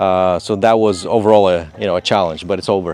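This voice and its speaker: A man speaks with a Moldovan accent. His pace is fairly quick. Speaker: contractor, business owner. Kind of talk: interview. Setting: outdoors in a state park. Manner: halting, many fillers.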